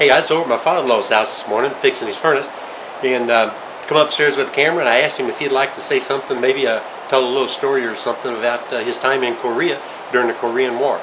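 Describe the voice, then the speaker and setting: A man's medium-pitched voice at a very fast pace with fairly even intonation, over noticeable background noise. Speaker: channel host. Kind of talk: casual talk to camera.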